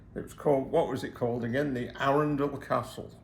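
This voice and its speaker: With an English accent, a man talks at a fairly quick pace and fairly high pitch, and room echo is audible. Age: 80s+. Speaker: retired hobby restorer. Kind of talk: casual chat. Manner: halting.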